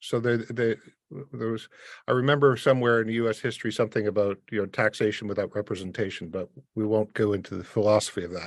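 Very fast speech with fairly even intonation over a quiet background. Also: man, fairly low pitch for a man. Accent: Canadian. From Canada (Windsor, Ontario). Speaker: immigration and tax consultant. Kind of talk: expert panel discussion. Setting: remote call from Poland.

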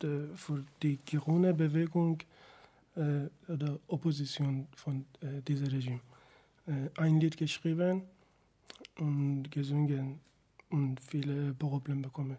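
A man with a Persian accent has a dark, mellow, somewhat breathy tone at fairly high pitch. He speaks very slowly in a monotone, flat way with long, frequent pauses. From Iran. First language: Persian (speaking German). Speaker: singer, musician. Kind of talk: radio interview. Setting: radio studio. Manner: halting.

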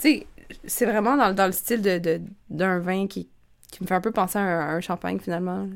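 Long, frequent pauses break up a woman's moderate pace. Her medium pitch shows ordinary pitch variation. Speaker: wine podcast host. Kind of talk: quiz reading; casual chat.

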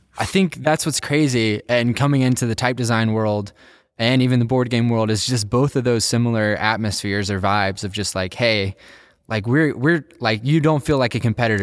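On a very clean recording with a silent background, a man with a normal speaking voice talks at a medium pitch and a fairly quick pace with ordinary pitch variation. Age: 20s. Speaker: type designer and board game publisher. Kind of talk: casual interview chat.

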